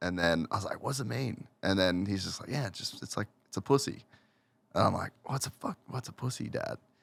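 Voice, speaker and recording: With an Australian accent, a man talks at a fairly quick pace and a fairly low pitch with lively intonation, and the sound is dry and close with no echo. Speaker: motocross media personality. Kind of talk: casual podcast chat.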